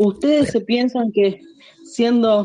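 In an Argentine accent, a woman speaks at a very slow pace in a fairly high pitch. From Argentina. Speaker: friend of the host, guest. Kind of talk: casual chat.

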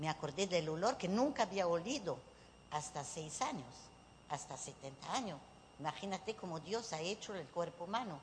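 This woman has a fairly low, somewhat breathy voice. She talks at a moderate pace with lively intonation. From southwestern France (Bordeaux, Bayonne). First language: French (speaking Spanish). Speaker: psychic medium. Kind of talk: workshop talk to a live audience. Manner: animated.

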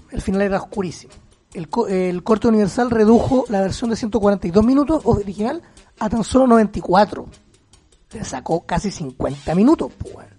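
A man in a Chilean accent, high-pitched, with lively intonation at a moderate pace. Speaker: podcast co-host. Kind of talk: casual chat. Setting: remote recording.

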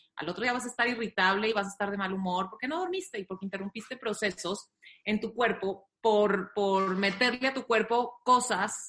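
A woman with an unremarkable speaking voice talks at a moderate pace with hardly any pauses. Her pitch is medium, with ordinary pitch variation. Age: 30s. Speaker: doctor and nutritionist. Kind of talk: casual chat. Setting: video call.

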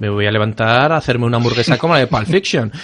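Noticeable background noise runs throughout. A man speaks at a medium pitch. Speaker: podcast host. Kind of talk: casual chat.

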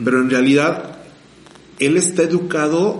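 Noticeable background noise and audible room echo surround a man with a fairly high pitch. He speaks at a fairly slow pace with ordinary pitch variation. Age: 30s. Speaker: podcast host. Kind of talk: casual chat.

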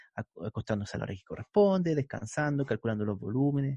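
A man with a Chilean accent speaks at a fairly high pitch, his voice swinging very widely up and down. The sound is dry and close, with no echo. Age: 40s. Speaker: physical education teacher and exercise physiologist. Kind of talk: interview. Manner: casual, colloquial.

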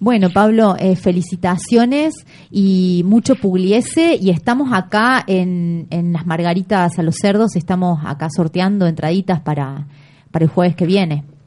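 A woman speaks fairly slowly at a medium pitch, her somewhat breathy voice dark and mellow in tone with ordinary pitch variation. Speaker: radio host. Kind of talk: casual radio chat. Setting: radio studio.

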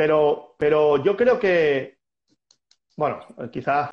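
Fairly high-pitched, a man speaks with lively intonation. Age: 40s. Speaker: squash coach and former player. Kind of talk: casual interview.

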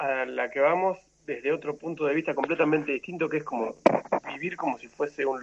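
A man with a Rioplatense accent at a fairly quick pace. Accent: Argentine Spanish (rioplatense). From Argentina. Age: 30s. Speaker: traveler and lawyer. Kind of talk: interview conversation. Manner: halting, many repetitions.

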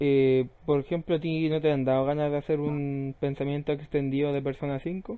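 At a moderate pace with hardly any pauses, a man speaks in a fairly high voice with monotone, flat intonation. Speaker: gaming podcast host. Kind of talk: casual chat. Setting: live stream.

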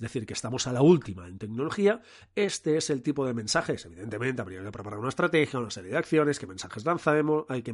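Over a quiet background, a man talks very fast in a medium pitch with hardly any pauses. His pitch swings very widely and his loudness shifts a lot. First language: Catalan (speaking Spanish). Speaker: podcast host, communication consultant. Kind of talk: casual solo podcast monologue. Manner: animated.

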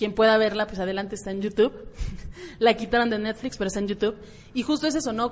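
The speaker talks with a Mexican accent and fairly even intonation. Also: woman. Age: 20s. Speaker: podcast host. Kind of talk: casual chat.

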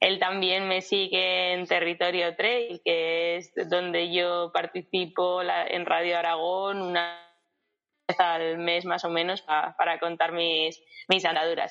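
Very slowly, a woman with fairly low pitch talks in a monotone, flat intonation. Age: 30s. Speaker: travelling runner. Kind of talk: interview.

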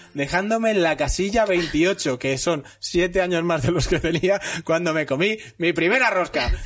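Talking at a fairly slow pace with hardly any pauses, a man speaks in a high voice with ordinary pitch variation and very even loudness. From Spain, Castellón. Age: 40s. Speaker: podcast host. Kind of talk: casual interview.

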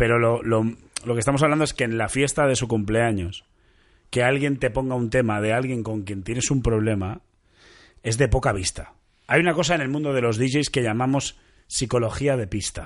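In a quiet setting, a man with a normal speaking voice talks at medium pitch and a moderate pace, with ordinary pitch variation. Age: 30s. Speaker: podcast host. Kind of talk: casual chat.

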